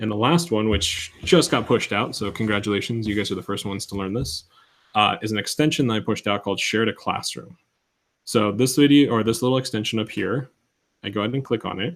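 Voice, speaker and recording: The man's voice is fairly low. He rushes along very fast. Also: ordinary pitch variation. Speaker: instructional technology trainer for teachers. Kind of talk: tutorial. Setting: video call. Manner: casual, with fillers.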